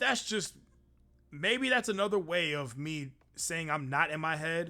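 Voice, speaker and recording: A loud man's voice, fairly high in pitch and bright and sharp in tone, at a fairly slow pace with lively intonation, in a very clean recording with a silent background. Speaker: streamer. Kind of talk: casual chat. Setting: live stream.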